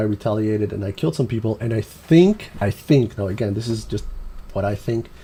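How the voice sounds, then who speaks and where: The speaker is a man with a dark, mellow tone. His voice is somewhat breathy. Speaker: gaming streamer. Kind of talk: live stream commentary.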